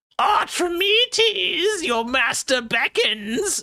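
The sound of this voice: A put-on character voice at an extremely high pitch, very slow, with very wide pitch swings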